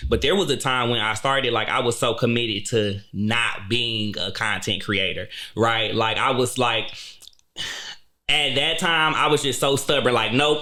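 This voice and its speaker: Audible room echo surrounds a man whose loudness stays very even. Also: medium pitch for a man, ordinary pitch variation, moderate pace. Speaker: podcaster and YouTube show host. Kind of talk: casual chat. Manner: animated.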